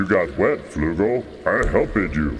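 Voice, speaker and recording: A man performs a put-on character voice at a fairly low pitch and a moderate pace. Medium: audio drama. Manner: broken grammar, blunt and simple.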